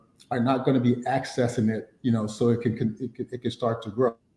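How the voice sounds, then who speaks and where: Talking at a very fast pace, a man has a medium pitch and a dark, mellow tone. His voice is somewhat breathy. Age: 50s. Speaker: financial planning speaker. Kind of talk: webinar teaching talk. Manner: many fillers and repetitions.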